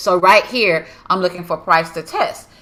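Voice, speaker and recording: A woman's bright, sharp, animated tone with ordinary pitch variation. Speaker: forex trading educator. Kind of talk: live trading tutorial.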